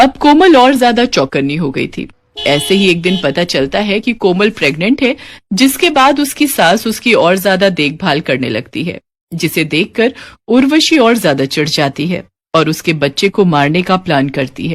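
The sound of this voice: Speaking at a moderate pace, a woman with a fairly low pitch lets her voice swing widely up and down.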